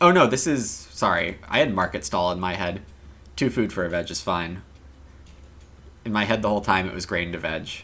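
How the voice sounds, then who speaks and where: Soft-spoken, with a bright, sharp tone. The pace is moderate, broken by long, frequent pauses. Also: man. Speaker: game streamer. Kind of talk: casual livestream commentary. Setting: live stream with chat. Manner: soft-spoken, quieter to save voice.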